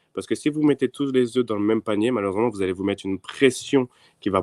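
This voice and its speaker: Captured in a very clean recording with a silent background, a man with a normal speaking voice speaks at a medium pitch with ordinary pitch variation. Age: 20s. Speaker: trader. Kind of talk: interview.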